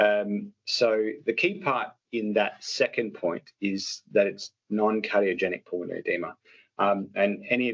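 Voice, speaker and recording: A man with an Australian accent delivers his words fairly slowly. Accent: Australian, noticeable. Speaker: doctor. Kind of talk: lecture. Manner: halting, many fillers.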